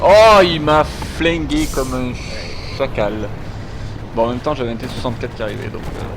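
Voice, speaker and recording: Amid noticeable background noise and audible room echo, a man talks at a moderate pace with long, frequent pauses. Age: 30s. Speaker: gaming streamer. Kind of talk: live gameplay commentary. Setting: live stream with voice chat.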